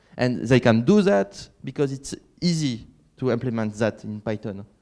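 Against a quiet background, a man with a strong French accent speaks at a fairly slow pace with very wide pitch swings. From France (Catalan region). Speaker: conference keynote speaker, software developer; conference keynote speaker. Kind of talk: conference keynote talk. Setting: stage with audience. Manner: halting, many fillers. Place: hall.

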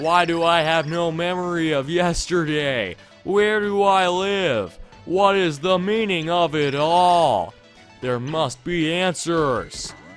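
With faint music in the background, a man performs a put-on character voice in a dramatic tone, using a high pitch at a fairly slow pace. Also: ordinary pitch variation. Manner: bewildered, dramatic.

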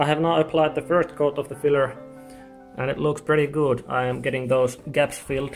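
Faint music plays behind a man speaking with monotone, flat intonation. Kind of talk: casual build vlog. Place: home room. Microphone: phone near.

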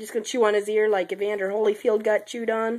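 A woman with a fairly high voice speaks at a very fast pace. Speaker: mother filming her baby. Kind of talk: casual talk to a baby. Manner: playful baby talk.

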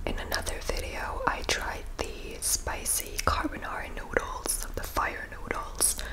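Very slowly, a woman whispers. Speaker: ASMR mukbang creator. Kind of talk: ASMR intro talk to camera. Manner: whispered. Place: home room. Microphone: studio mic.

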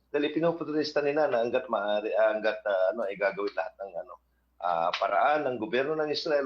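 Lively intonation from a man with a fairly high pitch, at a fairly quick pace. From Philippines. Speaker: foreign news correspondent. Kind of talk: news interview report. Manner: halting, many fillers.

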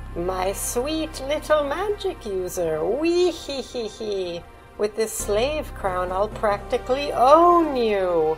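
Clear music plays in the background of a put-on character voice. It moves very slowly, fairly high in pitch, with very wide pitch swings. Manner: cackling, villainous.

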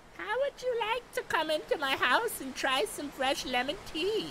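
A put-on character voice makes very wide pitch swings at a moderate pace over clear background noise. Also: female-sounding voice, extremely high pitch for a woman. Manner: sweetly inviting.

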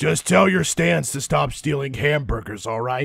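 This man talks at a moderate pace. His pitch swings very widely. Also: medium pitch for a man. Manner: gruff, sarcastic.

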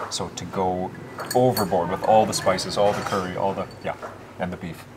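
A man's very deep, low voice amid noticeable background noise. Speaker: local food vlogger, Chiang Mai resident; food vlogger guest. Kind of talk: casual chat. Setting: outdoors at a mountain restaurant. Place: cafe.

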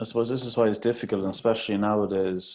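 Against a quiet background, a man with an Irish Midlands accent talks with fairly even intonation. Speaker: podcast host, primary teacher. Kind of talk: casual chat.

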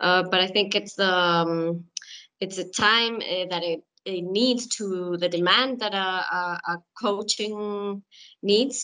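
The woman's tone is bright and sharp, with fairly even intonation. She speaks at a very slow pace over a quiet background. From Chile. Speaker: hockey player; webinar panelist. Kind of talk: panel discussion. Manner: halting. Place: home room. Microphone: video call.

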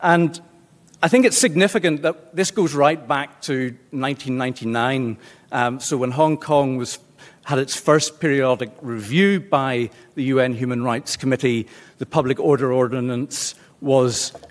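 A man talks with a slight Belfast accent. His pace is fairly slow. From Northern Ireland, Belfast. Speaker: law lecturer. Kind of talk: lecture. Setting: seminar room with audience. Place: meeting room.

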